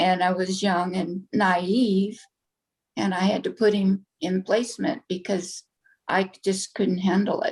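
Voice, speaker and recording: The voice is somewhat breathy, moving at a fairly slow pace with fairly even intonation. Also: woman, medium pitch for a woman. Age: 70s. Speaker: interviewee sharing life story. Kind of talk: interview.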